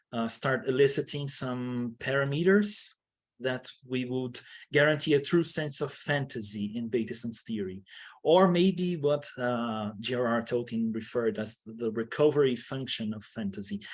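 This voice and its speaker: A man with a non-native accent, medium pitch, ordinary pitch variation and a moderate pace, over a quiet background. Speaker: academic researcher. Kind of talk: conference presentation. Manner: halting, many fillers and restarts.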